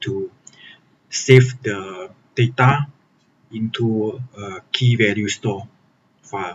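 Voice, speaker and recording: This man speaks in a somewhat breathy voice with a non-native accent. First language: Chinese. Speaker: software developer and programming tutor. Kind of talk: live-streamed coding tutorial. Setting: live stream. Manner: hesitant, frequent fillers (okay, uh).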